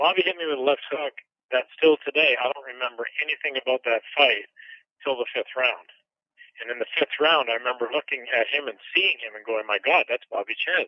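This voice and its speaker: Fairly quick in pace, a man speaks in a plain, everyday voice. His pitch is fairly high, with ordinary pitch variation. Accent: Canadian. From Canada. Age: 50s. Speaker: retired boxer. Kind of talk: interview.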